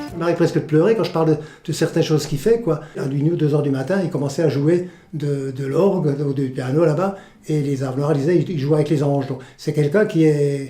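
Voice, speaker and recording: A man's fairly high voice, dark and mellow in tone, somewhat breathy, at a fairly quick pace. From France, Alsace (village near Gunsbach). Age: 70s. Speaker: volunteer museum guide, retired journalist. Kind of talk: interview testimony. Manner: animated, passionate; halting, repeats words.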